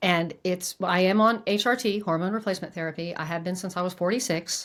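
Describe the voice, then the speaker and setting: A woman with a plain, everyday voice speaks at medium pitch with fairly even intonation in a very clean recording with a silent background. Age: 60s. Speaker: podcast host and former coach. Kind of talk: casual interview conversation.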